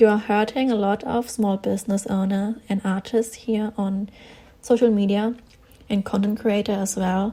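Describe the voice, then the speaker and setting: A woman's medium-pitched, somewhat breathy voice with a German accent, dark and mellow in tone, flat and monotone, at a moderate pace. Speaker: artist and small online shop owner. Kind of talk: casual vlog commentary while drawing.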